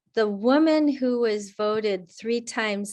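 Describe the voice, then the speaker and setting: A woman speaks at a very slow pace in a fairly high pitch with ordinary pitch variation against a quiet background. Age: 60s. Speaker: climate coach. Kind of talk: webinar talk with Q&A.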